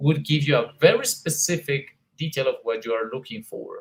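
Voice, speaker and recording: In a Colombian accent, a man speaks with a fairly high pitch. His voice is somewhat breathy and his pace fairly slow. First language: Spanish. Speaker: English teacher, conference presenter. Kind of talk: conference presentation. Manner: hesitant with many fillers.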